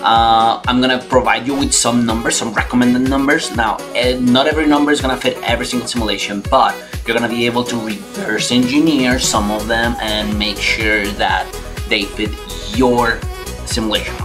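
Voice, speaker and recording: Clear music sounds in the background. Over it, a man speaks at a moderate pace. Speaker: online course tutor. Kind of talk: screen-recorded course lecture. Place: home room.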